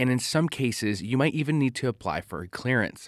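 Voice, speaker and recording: A man in a normal speaking voice talks at a moderate pace and medium pitch with lively intonation, the sound dry and close with no echo in a very clean recording with a silent background. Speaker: podcast host. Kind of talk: scripted travel/history documentary narration. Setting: studio podcast. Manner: measured, even, informative.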